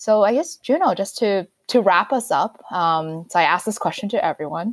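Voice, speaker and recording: A woman's normal speaking voice with ordinary pitch variation, in a very clean recording with a silent background and a dry, close sound with no echo. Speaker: podcast host. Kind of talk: interview.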